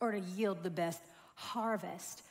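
A woman talks with ordinary pitch variation, the background around her quiet. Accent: Southern US. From US South, rural South Georgia. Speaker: corporate trainer and speaker; corporate trainer, speaker. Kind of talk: sermon. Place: church. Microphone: headset.

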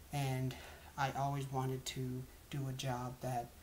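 A man speaks with an American accent. There is light background noise. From US South, Georgia (Lawrenceville). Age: 20s. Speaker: college student. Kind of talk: self-introduction monologue. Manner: halting, with fillers. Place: home room. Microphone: webcam.

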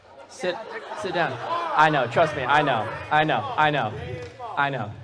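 Against crowd noise in the background, a man with a fairly high pitch and a playful tone speaks with long, frequent pauses. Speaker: stage hypnotist. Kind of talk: live stage hypnosis show with hypnotic induction commands. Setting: stage with audience at a school prom. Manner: playful, laughing, teasing banter with volunteers.

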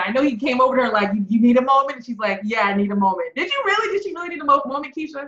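Heard with audible room echo over a quiet background, a woman speaks in a high pitch. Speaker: web show host. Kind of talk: casual review chat. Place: home room. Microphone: webcam.

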